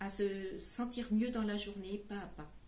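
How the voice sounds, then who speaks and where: A woman at a very slow pace, with noticeable background noise and audible room echo. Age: 70s. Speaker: caregiver and fundraiser. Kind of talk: charity presentation. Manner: hesitant, many fillers.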